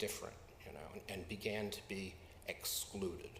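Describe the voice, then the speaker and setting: A man with an American accent talks at a moderate pace. Noticeable background noise and audible room echo fill the recording. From US Midwest. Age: 60s. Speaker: pastor. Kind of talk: sermon. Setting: church. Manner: halting.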